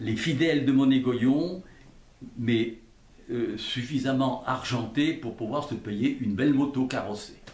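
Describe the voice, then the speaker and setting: A man speaks at a very slow pace in a medium pitch with ordinary pitch variation, and the room echo is audible. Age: 80s+. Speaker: retired factory design engineer. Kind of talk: casual interview. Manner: halting, repetitive.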